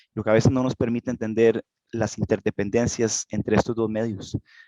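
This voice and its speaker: Moving at a fairly quick pace, a man speaks at a medium pitch with a dark, mellow tone. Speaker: geologist. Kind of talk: lecture. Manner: halting.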